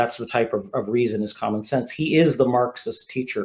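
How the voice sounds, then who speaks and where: Speaking with an American accent at a medium pitch and moderate pace, a man is heard over a quiet background. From US Northeast, Vermont (Burlington). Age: 60s. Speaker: author. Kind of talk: podcast interview. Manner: halting, frequent repetitions and fillers.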